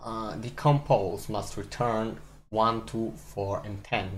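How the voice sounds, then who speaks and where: With a non-native accent, a man speaks amid audible room echo and music in the background. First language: not English. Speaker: live-streaming programmer. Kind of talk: casual live-stream commentary while coding. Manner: halting, many fillers and repeats.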